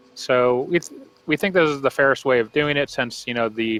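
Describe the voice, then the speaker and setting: Loud and bright with a sharp tone, a man speaks with ordinary pitch variation, the sound dry and close with no echo. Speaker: game developer streamer. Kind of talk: live stream game walkthrough.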